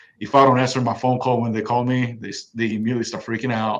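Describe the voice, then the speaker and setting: The man talks very fast at a medium pitch. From South Korea, moved to Texas as a youth. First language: Korean. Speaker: police officer. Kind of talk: interview, personal story. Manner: halting, many restarts.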